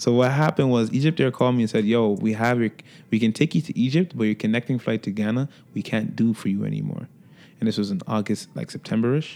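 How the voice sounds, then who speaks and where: A man with a Toronto accent speaks at a very fast pace. His voice has medium pitch, ordinary pitch variation and a dark, mellow tone. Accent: Toronto urban English. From Toronto, Jane and Finch. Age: 20s. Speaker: recording artist. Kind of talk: casual interview. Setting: studio.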